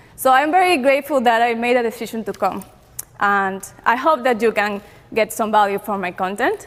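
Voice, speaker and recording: A woman's fairly high voice with a non-native accent, fairly quick in pace, with ordinary pitch variation and noticeable background noise. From Peru. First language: Spanish. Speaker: online entrepreneur. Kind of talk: conference talk. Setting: stage with audience. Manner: hesitant, many fillers.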